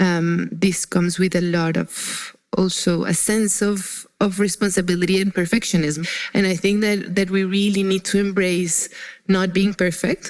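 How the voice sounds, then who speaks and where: A woman speaks at a moderate pace in a Spanish accent, her voice at medium pitch. Her loudness stays very even and her intonation is monotone and flat. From Colombia. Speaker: sustainability professional. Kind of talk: interview. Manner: halting.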